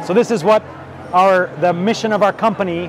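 A man's high-pitched voice at a moderate pace, dry with no echo, with music in the background. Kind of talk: interview answer. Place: hall. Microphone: lapel.

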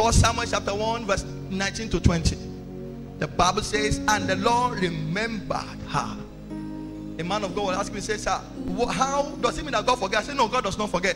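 Man at a moderate pace with ordinary pitch variation and long, frequent pauses, clear music in the background. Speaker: preacher. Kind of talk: sermon. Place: church. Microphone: handheld.

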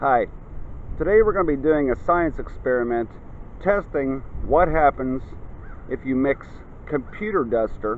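The man speaks at a fairly slow pace with long, frequent pauses. The sound is dry with no echo, over light background noise. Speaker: science demonstrator. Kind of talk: tutorial. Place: garden. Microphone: phone near.

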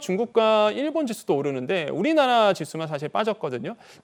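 On a very clean recording with a silent background, a man speaks in a high voice with very wide pitch swings. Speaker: economic commentator. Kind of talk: news interview.

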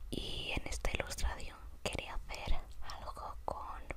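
A very slow whisper is heard above noticeable background noise. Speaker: illustrator. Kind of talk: whispered ASMR commentary. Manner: whispered.

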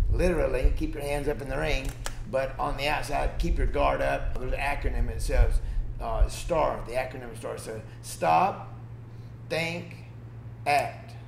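In a space with audible room echo and light background noise, a man speaks at a moderate pace with big swings in loudness. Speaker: guest. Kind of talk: interview answer. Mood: emotional, reflective about parents. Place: gym.

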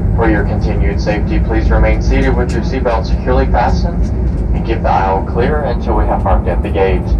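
Speech comes at a very fast pace over loud background noise. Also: man, ordinary pitch variation. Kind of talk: cabin announcement. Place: plane.

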